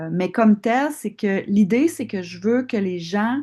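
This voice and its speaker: Against a quiet background, a woman with a Quebec accent speaks in a medium-pitched voice with a dark, mellow tone. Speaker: osteopath and longevity course instructor. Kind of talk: live online class Q&A. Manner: hesitant, many fillers.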